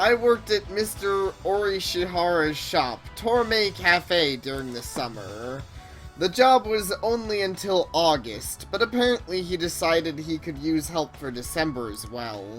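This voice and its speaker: A woman performs a put-on character voice over clear music in the background. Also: fairly low pitch for a woman, moderate pace. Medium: game stream. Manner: eager, theatrical.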